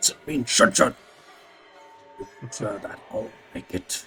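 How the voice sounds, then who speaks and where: A man speaks at a fairly slow pace in a put-on character voice, raspy and at a medium pitch, with clear background noise. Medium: actual play. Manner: clipped broken speech, domineering.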